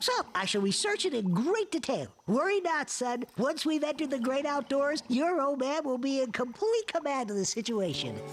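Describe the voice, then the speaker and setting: A cartoonish character voice, high in pitch, speaks at a moderate pace. Background noise is clearly audible. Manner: formal, precise.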